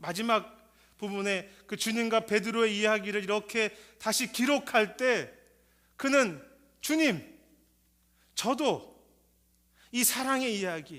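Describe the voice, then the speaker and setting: On a very clean recording with a silent background, a man speaks very slowly in a high, bright, sharp voice, with ordinary pitch variation and long, frequent pauses. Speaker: pastor. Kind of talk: sermon.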